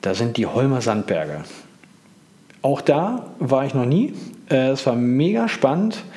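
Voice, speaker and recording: With audible room echo, a man at medium pitch talks at a fairly slow pace with lively intonation and long, frequent pauses. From northern Germany, Hamburg. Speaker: cycling podcaster. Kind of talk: solo podcast monologue. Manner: casual, with many filler sounds.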